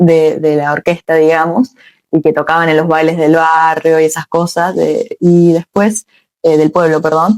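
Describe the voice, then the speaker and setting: A woman's fairly low, monotone, flat voice at a fairly slow pace, dry and close with no echo. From Argentina, Córdoba. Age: 20s. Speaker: rock singer-songwriter. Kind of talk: interview.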